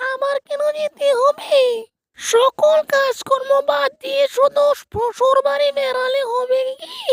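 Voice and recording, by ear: A cartoonish character voice at a fairly slow pace. Its pitch varies in an ordinary way. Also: woman, extremely high pitch for a woman.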